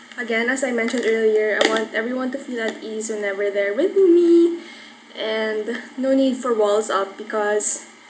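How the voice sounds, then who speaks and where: A woman's fairly high, relaxed voice with ordinary pitch variation, noticeable background noise, and audible room echo. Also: moderate pace. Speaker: YouTuber. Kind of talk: casual vlog.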